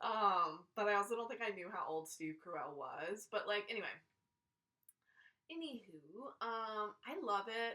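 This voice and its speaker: A bright, sharp tone at a fairly slow pace, with lively intonation. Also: woman, medium pitch for a woman. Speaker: podcast host. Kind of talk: casual podcast talk. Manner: rambling, filler-heavy.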